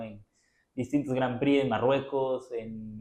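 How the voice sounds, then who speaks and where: A man with an ordinary speaking voice, medium pitch, moderate pace. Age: 20s. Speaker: blind pianist and sprinter. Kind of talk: interview.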